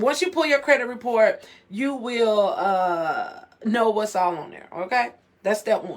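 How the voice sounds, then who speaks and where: This woman's voice sits fairly high and sounds animated. Her pitch swings very widely at a moderate pace. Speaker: financial coach. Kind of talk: live stream talk. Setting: live video stream. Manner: loud.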